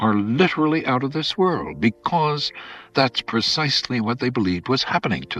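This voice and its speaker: A man talks at a moderate pace with lively intonation and a medium pitch. The sound is dry and close with no echo, and music plays in the background. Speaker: preacher. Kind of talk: radio sermon, conversational.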